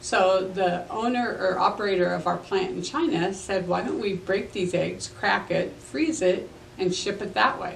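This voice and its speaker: Over light background noise and audible room echo, a woman talks at a fairly slow pace in a warm tone with ordinary pitch variation. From US Midwest, Superior, Nebraska. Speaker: historical storyteller portraying a local figure. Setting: local museum. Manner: homespun, conversational pacing with frequent 'um' fillers and small self-corrections; warm, matter-of-fact and gently chatty, like a grandmother recounting memories.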